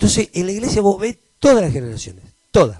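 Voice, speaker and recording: A man with a Rioplatense accent at a fairly quick pace, in a dry, close sound with no echo. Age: 60s. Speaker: pastor. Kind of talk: sermon. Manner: halting, frequent repetitions.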